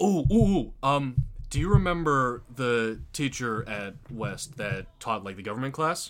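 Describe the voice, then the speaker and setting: In an American accent, a man with an ordinary speaking voice and medium pitch talks at a fairly slow pace with lively intonation and hardly any pauses. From US Midwest, Aurora, Illinois. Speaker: podcast co-host, theater student. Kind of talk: casual chat. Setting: same room as co-host.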